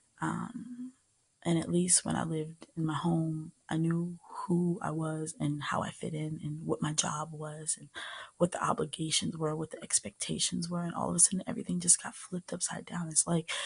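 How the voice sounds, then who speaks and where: A woman with an American accent speaks softly and somewhat breathily. Her pace is moderate, and her pitch varies in an ordinary way. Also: fairly low pitch for a woman. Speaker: ASMR creator. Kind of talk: soft-spoken personal storytelling to camera. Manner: soft-spoken, gentle.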